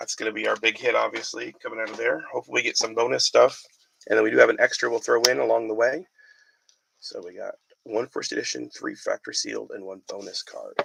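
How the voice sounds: Speaking at a fast pace, a man has a medium pitch, fairly even intonation, a fairly bright tone, vocal fry and a slightly husky edge.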